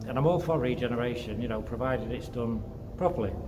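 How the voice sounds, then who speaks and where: Noticeable background noise runs under a man's voice. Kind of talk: casual vlog chat. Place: empty room. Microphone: phone near.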